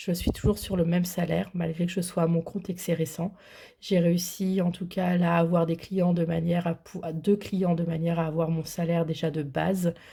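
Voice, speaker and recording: Keeping a flat monotone, a woman speaks at a fairly low pitch and a moderate pace. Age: 30s. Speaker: budgeting vlogger. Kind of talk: casual vlog. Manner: hesitant, many fillers.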